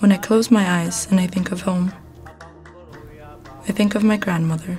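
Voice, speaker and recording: A woman with a medium pitch is heard while music plays in the background. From Morocco. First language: multilingual: English, French, Arabic, Amazigh. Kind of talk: spoken word poetry.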